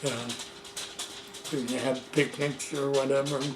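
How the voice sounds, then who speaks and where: The voice moves at a fairly slow pace in a monotone, flat intonation. Noticeable background noise and audible room echo fill the recording. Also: man. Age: 80s+. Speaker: elderly man telling life story. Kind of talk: oral history interview. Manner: halting.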